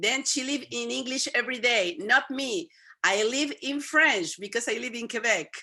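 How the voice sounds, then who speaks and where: The intonation is lively. The tone comes across bright and sharp. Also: woman, high pitch for a woman, moderate pace. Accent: Spanish. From Venezuela. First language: Spanish. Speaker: YouTube interviewer. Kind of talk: interview.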